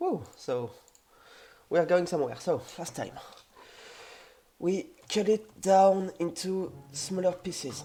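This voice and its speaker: The speech comes in a strong French accent at a fairly slow pace. Long, frequent pauses break it up. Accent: heavy French. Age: 20s. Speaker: game developer streamer. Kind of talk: live coding tutorial stream. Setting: live stream with voice chat. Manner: halting with many fillers.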